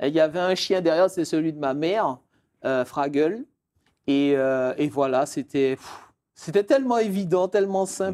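A man's fairly high-pitched, dark, mellow voice with lively intonation at a fairly slow pace, against a quiet background. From Martinique (Fort-de-France); Martinique. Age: 30s. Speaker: lawyer and real estate expert; lawyer. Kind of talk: interview. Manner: halting. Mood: warm, reminiscing. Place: studio. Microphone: lapel.

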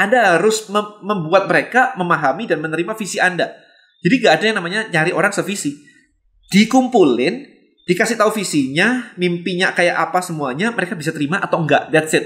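Against a quiet background, a man with a high pitch speaks at a very fast pace in a bright, sharp tone with ordinary pitch variation. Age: 40s. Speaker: business coach. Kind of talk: motivational talk. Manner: casual, heavy English code-switching. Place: home room.

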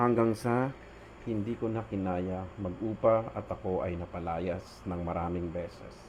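Behind a man's very deep, low voice there is noticeable background noise. His pitch varies in an ordinary way. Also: fairly slow pace. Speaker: religious storyteller. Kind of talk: testimony.

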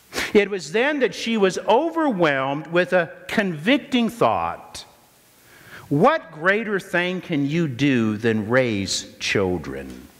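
Speaking at a very slow pace over noticeable background noise, a man with an American accent uses a high pitch and very wide pitch swings. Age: 50s. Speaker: pastor. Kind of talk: sermon; prayer. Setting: church.

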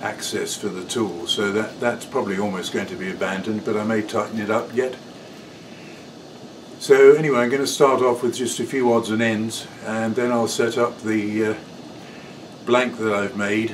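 A man talks at a moderate pace with fairly even intonation and long, frequent pauses. Noticeable background noise is present. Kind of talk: casual workshop vlog chat. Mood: relaxed, good-humoured. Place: workshop.

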